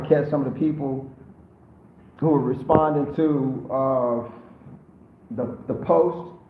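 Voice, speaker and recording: Audible room echo surrounds a man whose fairly high voice shows ordinary pitch variation. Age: 50s. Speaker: YouTuber living abroad. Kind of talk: live stream Q&A. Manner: casual, slangy.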